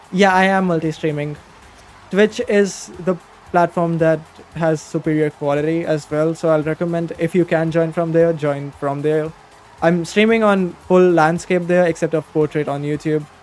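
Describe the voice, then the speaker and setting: With music in the background, a man speaks at a high pitch with fairly even intonation. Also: moderate pace. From India. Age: young. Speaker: gaming streamer. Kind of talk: live game stream chat. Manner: casual, halting.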